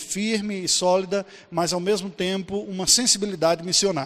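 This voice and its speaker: This man's voice sits high in pitch and moves at a moderate pace. The recording is very clean, with a silent background. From Brazil, Paraíba (Campina Grande). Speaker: pastor and missionary. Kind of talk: conference talk.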